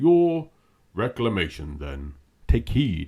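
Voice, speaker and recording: A man's put-on character voice, very deep and low, delivered at a very slow pace. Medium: read story. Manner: solemn.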